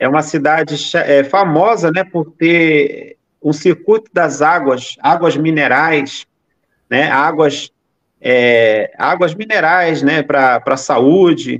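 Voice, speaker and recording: A man's very slow, fairly high-pitched speech with very even loudness and ordinary pitch variation. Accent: slight Rio de Janeiro. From Brazil, São Paulo state and southern Minas Gerais. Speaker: missionary. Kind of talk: casual interview on live stream. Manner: halting.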